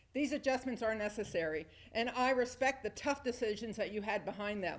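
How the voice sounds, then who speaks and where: This woman's voice is high-pitched and loud, with ordinary pitch variation. She speaks at a fairly quick pace. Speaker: landlord speaking at public comment. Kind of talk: prepared public comment speech. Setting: town hall meeting. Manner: formal.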